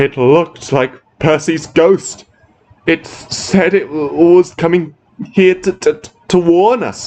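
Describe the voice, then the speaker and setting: In a put-on character voice, a man talks shakily at a fairly slow pace and a high pitch. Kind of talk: read story. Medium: read story. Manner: shaky, frightened.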